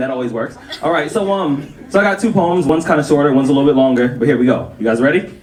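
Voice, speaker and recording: A man talks very fast at a fairly high pitch, with hardly any pauses and ordinary pitch variation. His loudness swings widely over noticeable background noise. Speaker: spoken word poet. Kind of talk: casual talk to audience.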